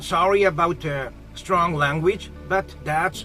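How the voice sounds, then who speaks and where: Someone with a Japanese accent speaks at a very slow pace while music plays in the background. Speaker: professor, ESL instructor. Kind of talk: lecture talk to camera.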